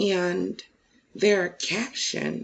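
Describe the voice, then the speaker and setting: Soft-spoken, this woman has a fairly low voice. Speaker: YouTube commentator. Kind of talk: casual reaction commentary. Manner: soft-spoken, low; halting, many fillers.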